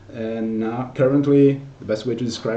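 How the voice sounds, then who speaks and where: A man talks at a moderate pace in a dark, mellow tone and medium pitch, with fairly even intonation. There is audible room echo. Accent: Portuguese. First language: Portuguese. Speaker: technical solutions consultant. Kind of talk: conference talk. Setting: virtual conference presentation. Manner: hesitant, frequent repetitions.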